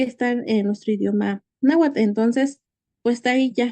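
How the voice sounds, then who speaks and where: Dark and mellow in tone, this voice has a Mexican accent, ordinary pitch variation and a fairly slow pace. The sound is dry and close, with no echo. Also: woman. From Mexico, Hidalgo. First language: Nahuatl (speaking Spanish). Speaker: conference speaker. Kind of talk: conference talk. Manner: halting, many fillers.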